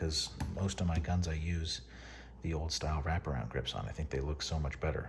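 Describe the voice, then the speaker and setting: A man's whispered voice with vocal fry. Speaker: paintball hobbyist. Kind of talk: product overview talk to camera.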